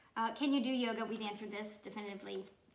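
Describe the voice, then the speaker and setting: A woman's fairly high voice at a very fast pace, ordinary pitch variation, audible room echo. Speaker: children's book author. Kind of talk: video talk to children. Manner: loud; chatty.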